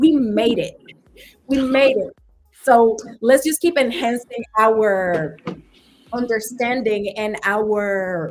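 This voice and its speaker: Over music in the background, a woman with a Spanish accent and a fairly high pitch speaks at a very slow pace, with lively intonation and long, frequent pauses. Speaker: talk show host. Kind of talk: panel discussion.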